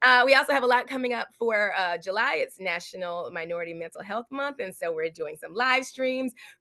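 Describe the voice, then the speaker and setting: Speaking at a fairly quick pace in an American accent, a woman with a fairly high pitch has an animated, bright, sharp tone, recorded with a dry, close sound and no echo. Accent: Southern accent reduced by diction training. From US South, South Carolina. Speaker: actress and acting coach. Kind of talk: casual interview.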